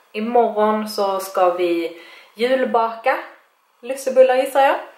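Audible room echo surrounds a woman's voice, though the background is quiet. Her pitch variation is ordinary. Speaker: vlogger. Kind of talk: casual vlog chat. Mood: relaxed, playful. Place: home room. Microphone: phone near.

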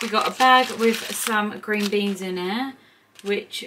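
A woman speaks at a fairly slow pace. Noticeable background noise runs underneath. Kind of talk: casual vlog chat. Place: kitchen. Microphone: phone near.

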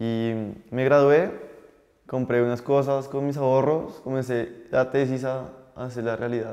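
Fairly level in intonation and fairly unhurried, a man talks with little heard behind him. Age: 20s. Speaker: young entrepreneur and chef; guest. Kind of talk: interview testimony. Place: studio. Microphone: lapel.

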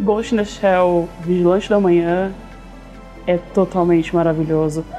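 A woman talks at a moderate pace with fairly even intonation. Faint music plays in the background. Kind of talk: casual review opinion to camera. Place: office.

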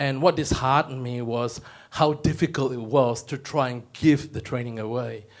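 A man talks with fairly even intonation at a moderate pace, the background quiet. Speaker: training provider; audience member. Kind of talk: audience question. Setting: stage with audience. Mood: earnest, slightly frustrated. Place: hall. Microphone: handheld.

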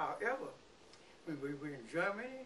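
A man speaks with a Mississippi accent and lively intonation. Light background noise can be heard. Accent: Southern US (Mississippi). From US South. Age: 80s+. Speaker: war veteran; interviewee. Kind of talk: oral history interview. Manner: halting. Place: home room. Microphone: camera far.

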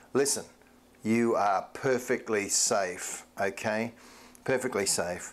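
A man's fairly low voice at a slow pace, with ordinary pitch variation.

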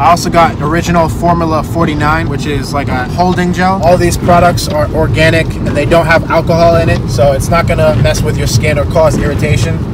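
A man at a fairly quick pace with hardly any pauses, dry with no echo, over loud background noise. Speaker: vlogger. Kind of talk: casual vlog chat. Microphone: lapel.

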